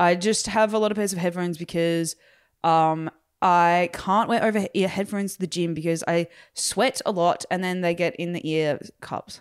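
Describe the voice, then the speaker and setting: A woman talks at a moderate pace in an ordinary speaking voice. Her pitch is fairly low, and her intonation is fairly even. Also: very clean recording, silent background. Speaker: podcast host. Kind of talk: casual chat.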